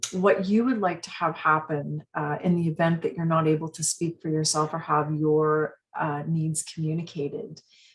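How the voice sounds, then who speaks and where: Somewhat breathy, a woman talks at a moderate pace in a fairly low pitch with ordinary pitch variation. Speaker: palliative care association executive. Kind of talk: webinar presentation. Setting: online webinar. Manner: halting, many fillers.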